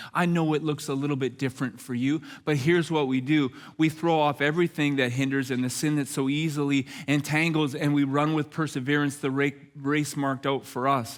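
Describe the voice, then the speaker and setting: Speaking at a fairly quick pace, a man with a fairly high pitch keeps a monotone, flat intonation and very even loudness in a very clean recording with a silent background. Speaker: pastor. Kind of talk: church sermon.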